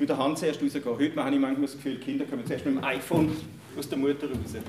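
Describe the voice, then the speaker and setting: Very fast, monotone, flat speech from a man amid noticeable background noise. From Germany. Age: 50s. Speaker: church leader and pastoral worker. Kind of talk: talk to an audience.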